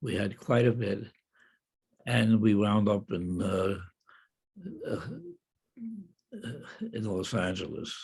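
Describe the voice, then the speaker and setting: A man with an American accent at a fairly low pitch, somewhat breathy, with fairly even intonation, a very slow pace and long, frequent pauses. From Cleveland, Ohio. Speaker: World War II veteran. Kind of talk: interview answer.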